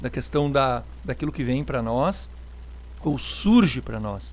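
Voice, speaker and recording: A man speaks. His pace is fairly slow. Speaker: pastor. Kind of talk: live-stream chat with viewers. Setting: online live stream.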